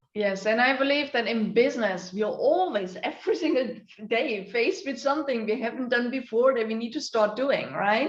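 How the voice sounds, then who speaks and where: A high-pitched woman, moderate in pace, with lively intonation and hardly any pauses. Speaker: interview host. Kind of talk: interview host talk.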